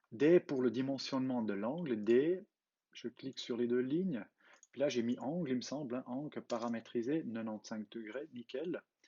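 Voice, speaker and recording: With a Swiss German accent, a man speaks at a moderate pace and medium pitch. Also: ordinary pitch variation. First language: Swiss German (speaking French). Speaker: CAD tutorial creator. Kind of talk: tutorial. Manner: halting, with fillers.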